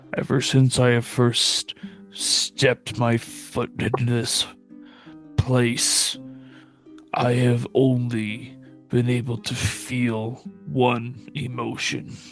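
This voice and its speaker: Putting on a raspy character voice, a man speaks at a medium pitch with fairly even intonation. His pace is very slow, with long, frequent pauses, and faint music plays in the background. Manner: growling, low and intense.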